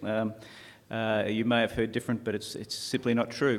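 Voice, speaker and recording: Speaking fairly quickly, the man has an Australian accent. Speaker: taxi industry representative. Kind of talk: conference presentation. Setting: conference stage with audience. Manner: hesitant, many uh fillers; fairly fast.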